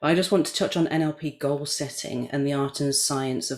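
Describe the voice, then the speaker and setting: A moderate pace with a British accent. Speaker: NLP coach. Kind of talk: casual chat. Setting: video call.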